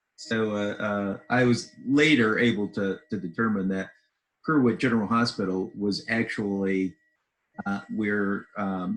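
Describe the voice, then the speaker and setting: A man with an ordinary speaking voice, fairly low pitch, ordinary pitch variation and a fairly slow pace. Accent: American. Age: 60s. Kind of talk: interview.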